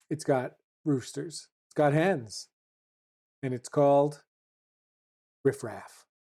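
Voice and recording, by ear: A woman with a dark, mellow tone and low pitch speaks at a slow pace with ordinary pitch variation.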